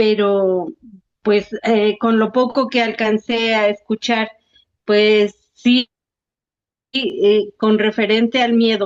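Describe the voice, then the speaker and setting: A woman with a fairly high pitch speaks at a very slow pace with long, frequent pauses, fairly even intonation and very even loudness, in a dry, close sound with no echo. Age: 60s. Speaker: workshop participant. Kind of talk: casual chat. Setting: video call. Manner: halting.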